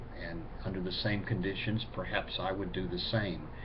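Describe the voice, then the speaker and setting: Somewhat breathy, a man speaks at a fairly low pitch and a fairly slow pace. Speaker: pagan video blogger. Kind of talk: casual talk to camera, answering viewer questions.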